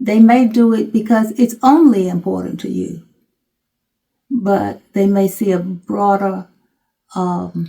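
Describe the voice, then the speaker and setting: A woman with a somewhat breathy, dark, mellow tone speaks at a medium pitch with ordinary pitch variation. She goes at a very slow pace, with long, frequent pauses. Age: 80s+. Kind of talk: interview.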